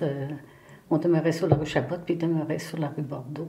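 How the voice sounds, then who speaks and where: Over audible room echo, a woman speaks at a very deep, low pitch. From Quebec, Montreal. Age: 70s. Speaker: retired municipal secretary-treasurer, local historian. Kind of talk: interview. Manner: hesitant, many fillers.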